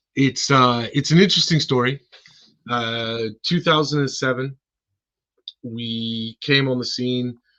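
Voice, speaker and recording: Using an American accent, a man talks at a medium pitch with a bright, sharp tone, fairly even intonation, a fairly slow pace and long, frequent pauses. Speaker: car care company co-founder. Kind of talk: podcast interview.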